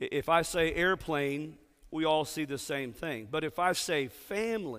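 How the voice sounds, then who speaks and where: Recorded very cleanly against a silent background, the speaker has an animated tone, a Texan accent and a moderate pace. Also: man. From Texas. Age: 60s. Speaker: pastor. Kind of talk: sermon. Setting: church with congregation.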